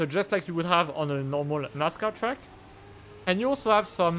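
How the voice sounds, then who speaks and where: A man with a non-native accent speaks at a high pitch with lively intonation. Music plays in the background. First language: not English. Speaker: speedrunner and video game commentator. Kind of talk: live gameplay commentary. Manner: halting, many filler words.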